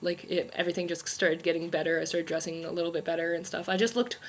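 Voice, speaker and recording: A woman talks in a fairly low voice with monotone, flat intonation. Noticeable background noise runs underneath. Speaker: beauty and lifestyle vlogger. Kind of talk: casual vlog monologue. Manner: casual, filler-heavy. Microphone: laptop mic.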